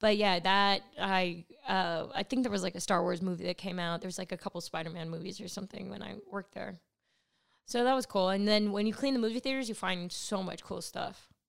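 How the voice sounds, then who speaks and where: A woman with a Californian accent, animated in tone, medium in pitch, with ordinary pitch variation and a fairly quick pace. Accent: Californian American. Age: 30s. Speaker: stand-up comedian. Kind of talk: casual chat.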